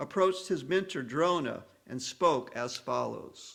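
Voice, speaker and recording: A man speaks with an American accent in a bright, sharp tone and ordinary pitch variation. The recording is very clean, with a silent background. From US South. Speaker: audiobook reader of scripture with commentary. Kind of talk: reading aloud; spoken introduction.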